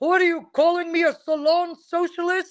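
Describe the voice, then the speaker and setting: A put-on character voice in a strong Dutch accent, pitched extremely high with monotone, flat intonation. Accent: heavy Dutch. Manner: accusing, confrontational.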